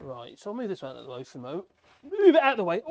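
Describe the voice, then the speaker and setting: A put-on character voice mumbles at a very fast pace. The pitch sits in the middle range. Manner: mumbling to oneself.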